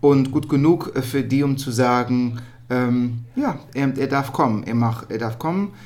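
Speaking at a fairly slow pace, a man uses a medium pitch and fairly even intonation. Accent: Dutch. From Netherlands. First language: Dutch (speaking German). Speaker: musical theatre performer. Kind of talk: casual interview. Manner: halting.

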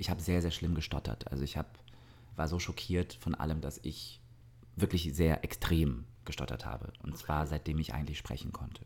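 In a very deep, low voice with vocal fry, a man talks at a moderate pace with ordinary pitch variation. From southern Germany, Augsburg. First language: Russian (speaking German). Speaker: singer and actor. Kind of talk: casual interview. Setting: indoors by an open terrace door.

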